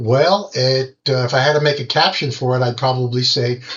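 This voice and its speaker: With music in the background, a man talks, his voice fairly high in pitch. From California, San Diego. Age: 70s. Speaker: amateur radio operator. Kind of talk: lecture.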